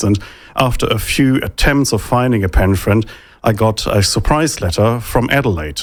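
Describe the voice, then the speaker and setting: The speaker has a German accent and a moderate pace. Pitch varies by an ordinary amount. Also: man. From Germany. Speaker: think tank economist. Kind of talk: interview.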